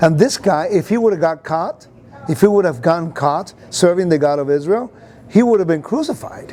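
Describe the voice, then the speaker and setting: An animated, high-pitched man with a Puerto Rican accent, lively intonation and moderate pace, over noticeable background noise. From Puerto Rico, raised in the United States. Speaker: Bible teacher. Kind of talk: interview. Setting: conference venue.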